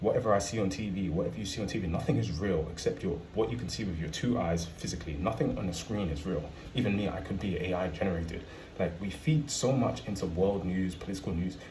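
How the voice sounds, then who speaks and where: A man with a British accent talks very fast in a very deep, low pitch with lively intonation. Noticeable background noise and audible room echo come through. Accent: UK. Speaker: travel vlogger. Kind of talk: casual monologue to camera.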